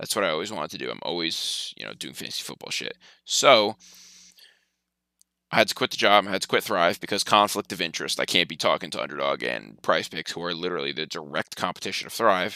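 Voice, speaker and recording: A man's very deep, low voice with vocal fry, bright and sharp in tone, animated, with lively intonation, a very fast pace and big swings in loudness, in a dry, close sound with no echo. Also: very clean recording, silent background. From New Jersey, Sussex County. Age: 20s. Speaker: fantasy sports streamer. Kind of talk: casual live stream chat. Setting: live stream. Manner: fast, animated.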